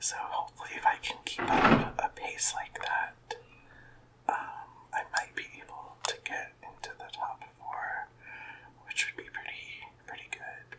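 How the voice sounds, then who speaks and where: A man whispers at a fairly slow pace with big swings in loudness. Noticeable background noise is present. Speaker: ASMR content creator. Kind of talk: ASMR gaming show and tell. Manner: whispered, soft-spoken.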